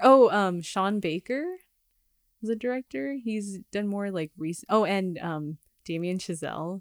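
A woman with a normal speaking voice at medium pitch, lively intonation and a fairly slow pace, dry and close with no echo in a very clean recording with a silent background. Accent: American. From Los Angeles. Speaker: singer-songwriter and filmmaker. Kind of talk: casual interview. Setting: studio.

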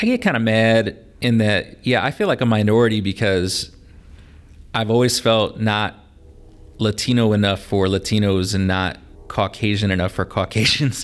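At a moderate pace, a man with a Midwestern US accent talks at a fairly low pitch, his intonation fairly even and his loudness very even. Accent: US Midwest. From northern Indiana (LaPorte), US Midwest. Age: 30s. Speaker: teacher and rapper. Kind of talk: casual chat.

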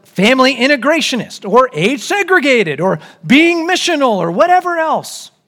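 A man talks at a moderate pace in an animated tone. His voice is bright and sharp, with very wide pitch swings. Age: 40s. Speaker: pastor. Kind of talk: sermon.

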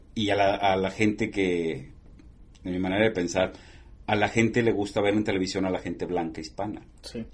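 A man with a normal speaking voice talks at a moderate pace, his pitch fairly low and his intonation fairly even. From northern Mexico border (Matamoros, Tamaulipas). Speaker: TV journalist. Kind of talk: interview.

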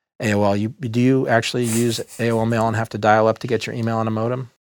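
With an American accent, a man talks in a normal speaking voice at medium pitch and a moderate pace, on a very clean recording with a silent background. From Texas, Dallas. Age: 50s. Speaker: venture capitalist. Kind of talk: casual interview. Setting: studio.

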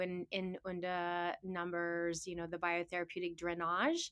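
A woman speaks in a fairly low voice with a flat, monotone delivery. The recording is very clean, with a silent background. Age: 50s. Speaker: naturopathic doctor and teacher. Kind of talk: casual chat.

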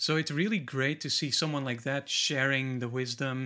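A man with a Flemish accent, fairly high in pitch with ordinary variation, a bright, sharp tone and a moderate pace, in a very clean recording with a silent background. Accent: Belgian (Flemish) accent in English. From Belgium. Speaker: guitarist and guitar teacher, author. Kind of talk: casual interview chat. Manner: occasionally halting, many fillers.

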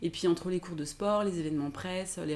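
Very fast speech comes from a woman with a dark, mellow tone, fairly low pitch and ordinary pitch variation. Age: 30s. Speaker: blogger. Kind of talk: casual chat.

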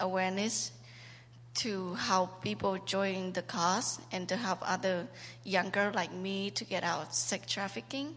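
Here is a woman with a Cambodian accent. Her pitch sits in the medium range. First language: Khmer. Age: 20s. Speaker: trafficking survivor. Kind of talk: testimony. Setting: church. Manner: halting.

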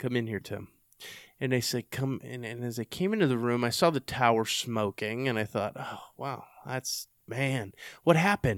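On a very clean recording with a silent background, a man speaks with a Texan accent. His pitch is medium and his pace moderate. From Texas. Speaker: podcast host and army veteran. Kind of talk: casual interview conversation. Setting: in-person sit-down.

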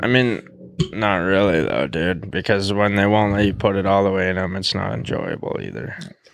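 A man with an ordinary speaking voice and an American accent speaks at a moderate pace, fairly low in pitch, with ordinary pitch variation. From Montana. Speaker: podcast guest. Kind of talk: casual chat.

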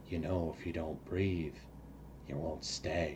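A man puts on a character voice with a very deep, low pitch at a fairly slow pace. Loud background noise runs underneath.

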